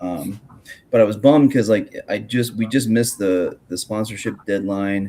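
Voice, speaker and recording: A man mumbles at a moderate pace with ordinary pitch variation. His tone is dark and mellow. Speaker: podcast host and grappling commentator. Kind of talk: casual chat. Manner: mumbling; halting.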